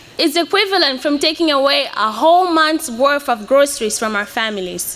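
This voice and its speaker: A woman's raised, projected voice with lively intonation at a moderate pace, against noticeable background noise. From Mozambique (Beira). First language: Portuguese. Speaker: graduating student speaker. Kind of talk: commencement speech. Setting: stage with audience.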